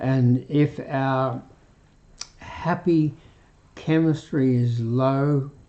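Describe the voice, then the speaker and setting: A man with an Australian accent speaks very slowly at a fairly high pitch. His intonation is fairly even, and he takes long, frequent pauses. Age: 80s+. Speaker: retired doctor, health live streamer. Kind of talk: health talk live stream. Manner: halting, with fillers.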